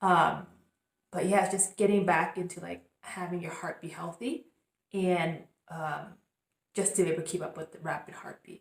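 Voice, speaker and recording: Moving at a moderate pace, a woman with a fairly low pitch keeps her intonation fairly even while her loudness swings widely. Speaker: spiritual crystal coach, channel host. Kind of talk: casual vlog monologue. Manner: hesitant, many fillers.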